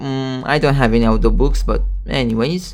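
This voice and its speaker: The speaker has a Romanian accent and a moderate pace. Music plays in the background. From Romania, lived in Greece. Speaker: tech YouTuber. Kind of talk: casual product walkthrough. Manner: casual, hesitant with repetitions.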